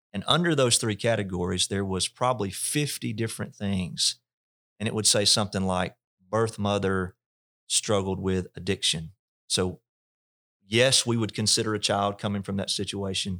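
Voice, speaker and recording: With a Mississippi accent, a man speaks at a moderate pace in a fairly low pitch with ordinary pitch variation, the sound dry and close with no echo on a very clean recording with a silent background. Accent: Southern US (Mississippi). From US South, north Mississippi. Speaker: pastor. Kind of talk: interview testimony. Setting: church facility.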